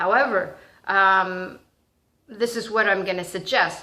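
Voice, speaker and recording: A loud woman talks at a fairly slow pace with a medium pitch and a bright, sharp tone. Room echo can be heard around her voice. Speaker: spiritual vlogger and teacher. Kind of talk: casual monologue vlog. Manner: halting, many fillers and restarts.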